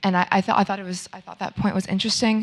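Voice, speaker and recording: Her voice carries a medium pitch and an American accent as the woman speaks. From United States. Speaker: audience member asking a question. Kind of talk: audience question. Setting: public panel event with audience. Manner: halting, many fillers.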